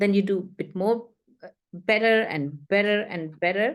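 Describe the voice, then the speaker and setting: A woman at a medium pitch speaks at a fairly slow pace, her pitch varying in an ordinary way. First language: not English. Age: 60s. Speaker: author and ghostwriter. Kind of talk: interview. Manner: halting.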